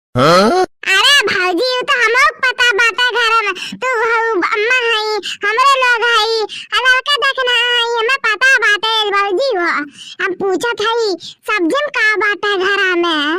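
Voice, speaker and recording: A woman puts on a cartoonish character voice at an extremely high pitch, talking fairly slowly with ordinary pitch variation. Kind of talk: village cartoon comedy. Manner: bantering, rustic.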